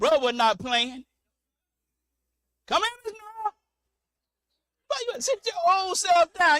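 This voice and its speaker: A man talks in an animated tone with very wide pitch swings. The sound is dry and close, with no echo. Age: 60s. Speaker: preacher. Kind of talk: sermon.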